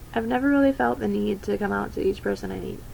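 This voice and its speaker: Very wide swings mark a woman's pitch. She talks very fast. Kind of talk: personal coming-out talk to camera.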